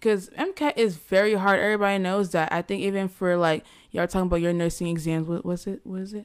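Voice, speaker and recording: A woman with an American accent talks at a fairly quick pace in an ordinary speaking voice, her pitch medium and her intonation fairly even. The recording is very clean with a silent background. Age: young (19). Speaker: podcast host, pre-med student. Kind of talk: casual chat.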